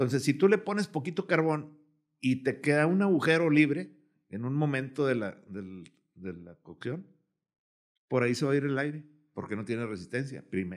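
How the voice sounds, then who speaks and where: A man speaks at a moderate pace in a fairly high voice, with very wide pitch swings and big shifts in loudness against a quiet background. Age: 70s. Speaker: cook and grill enthusiast; podcast guest. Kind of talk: casual chat. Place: studio. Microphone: studio mic.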